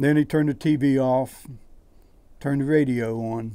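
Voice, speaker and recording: A fairly high-pitched man with an Appalachian accent and a dark, mellow tone at a fairly slow pace. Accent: Appalachian American. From West Virginia, US. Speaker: poet; air force veteran. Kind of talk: reading his own poetry and prose.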